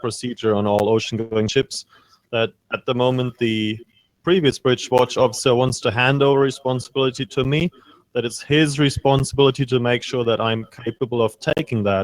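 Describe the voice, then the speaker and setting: The pace is fairly quick as a man speaks. The sound is dry and close, without echo. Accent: German. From Germany. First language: German. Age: 30s. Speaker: ship's chief officer. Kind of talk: interview Q&A with students.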